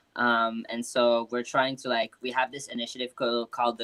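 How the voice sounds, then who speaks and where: This man talks with a French accent. He keeps a moderate pace. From France, Paris area. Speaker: hip hop artist and record label founder. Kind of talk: casual live interview.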